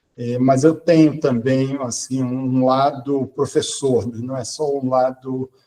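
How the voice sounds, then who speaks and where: A man with a dark, mellow tone talks very slowly at a medium pitch, flat and monotone, with hardly any pauses. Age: 60s. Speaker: quantum computing researcher and professor. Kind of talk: podcast interview. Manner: hesitant, many fillers.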